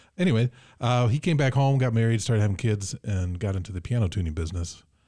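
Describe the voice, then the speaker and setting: With an American accent, a somewhat breathy man speaks at a moderate pace with ordinary pitch variation, on a very clean recording with a silent background. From Michigan. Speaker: keyboardist. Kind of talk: casual chat. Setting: studio.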